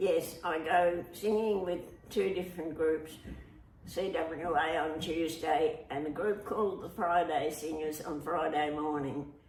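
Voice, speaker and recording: A woman's fairly low voice in an Australian accent, fairly slow and fairly even in intonation, with music in the background. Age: 80s+. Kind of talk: interview answer.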